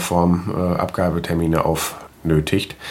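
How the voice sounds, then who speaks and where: Through noticeable background noise, a man speaks in a very deep, low voice. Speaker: podcaster. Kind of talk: casual monologue; reading aloud.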